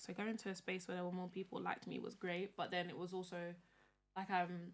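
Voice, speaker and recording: This woman speaks with a London accent. Her pitch is fairly low. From London (North and North West). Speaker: podcast host. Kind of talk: casual chat.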